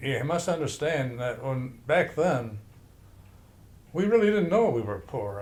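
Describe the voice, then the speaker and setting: With a Detroit accent, a man speaks in a room with audible echo. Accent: Midwestern American (Detroit). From Detroit, US Midwest. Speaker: grandfather telling his life story. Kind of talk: oral history interview. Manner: halting, with many fillers.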